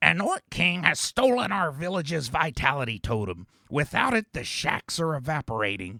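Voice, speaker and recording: In a raspy, put-on character voice, the speaker moves at a moderate pace with hardly any pauses and very wide pitch swings, recorded dry and close with no echo. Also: man, fairly high pitch for a man. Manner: gruff, folksy, role-play.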